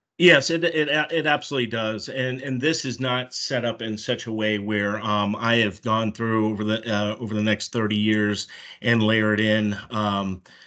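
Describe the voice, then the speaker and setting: A man at a moderate pace with hardly any pauses, a medium pitch, a bright, sharp tone and ordinary pitch variation. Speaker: financial presenter. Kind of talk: meeting presentation. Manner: halting, many fillers.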